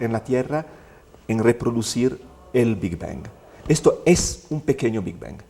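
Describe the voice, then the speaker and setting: A man with an Italian accent talks at a fairly slow pace. His medium-pitched voice has lively intonation. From Italy. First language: Italian (speaking Spanish). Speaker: physicist, director of a research experiment. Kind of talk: TV interview.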